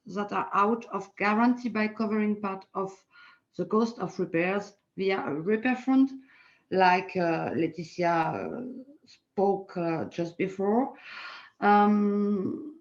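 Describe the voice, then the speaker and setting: A woman with a French accent, very slow pace and ordinary pitch variation. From France. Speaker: politician. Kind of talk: panel talk. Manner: halting.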